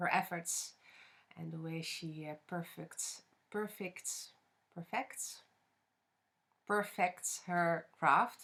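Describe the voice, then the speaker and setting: A woman with a non-native accent speaks at a very slow pace with long, frequent pauses and fairly low pitch. Her intonation is fairly even, though her loudness swings a lot. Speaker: craft podcaster. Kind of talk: casual podcast monologue. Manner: hesitant, many fillers.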